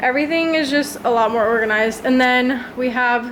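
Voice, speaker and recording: Noticeable background noise sits behind a woman with an American accent. She keeps a moderate pace and fairly even intonation. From United States. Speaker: lifestyle vlogger. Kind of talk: casual vlog narration. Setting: at home, apartment. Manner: casual, chatty.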